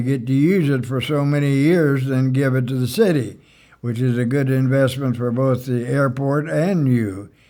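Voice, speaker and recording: There is audible room echo around a man speaking at a moderate pace. His medium-pitched voice has a dark, mellow tone and ordinary pitch variation. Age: 90s. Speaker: retired airport manager and pilot. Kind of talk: interview reminiscence. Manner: halting, many fillers.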